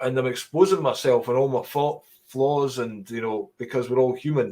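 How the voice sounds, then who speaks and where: In a Scottish accent, the speaker talks at a moderate pace with a dark, mellow tone and ordinary pitch variation. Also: man, medium pitch for a man. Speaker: stand-up comedian. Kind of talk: interview.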